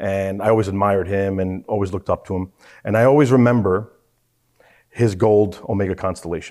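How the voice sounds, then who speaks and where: A normal speaking voice with an American accent, fairly even intonation and a fairly quick pace, on a very clean recording with a silent background. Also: man, fairly low pitch for a man. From New York, Queens. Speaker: watch club founder. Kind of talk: casual chat.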